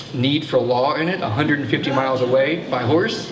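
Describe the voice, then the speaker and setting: Noticeable background noise and audible room echo surround a man with an American accent whose fairly high voice keeps a fairly even intonation. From Texas. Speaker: museum assistant director giving a history talk. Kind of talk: public history talk. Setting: brewery event with live audience. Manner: fast; many fillers and restarts.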